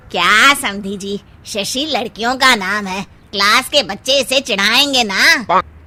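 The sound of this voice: Using a cartoonish character voice at a fairly high pitch, a woman speaks at a fairly slow pace with hardly any pauses.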